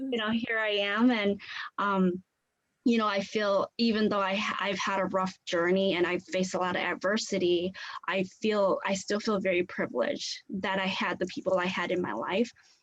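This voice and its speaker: Speaking in a Southeast Asian accent, a woman keeps a medium pitch and fairly even intonation at a moderate pace. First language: Hmong. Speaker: community leader. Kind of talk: guest presentation in a class.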